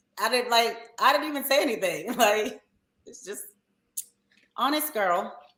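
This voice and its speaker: In a strong Baltimore accent, a woman speaks at a fairly high pitch with lively intonation, an animated, bright and sharp tone, big swings in loudness, and long, frequent pauses. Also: moderate pace. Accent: thick Baltimore. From Baltimore, Maryland. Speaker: reality TV cast member. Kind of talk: casual interview.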